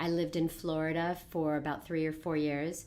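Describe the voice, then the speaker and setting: A woman with a Californian accent speaks at a fairly low pitch. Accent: General American, California. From Los Angeles, US West Coast. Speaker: network marketing coach. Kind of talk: casual interview.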